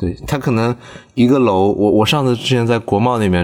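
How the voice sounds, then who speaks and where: Fairly quick speech from a man with a fairly low pitch and ordinary pitch variation, a normal speaking voice. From southern China. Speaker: podcast host. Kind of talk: casual chat. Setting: in a car.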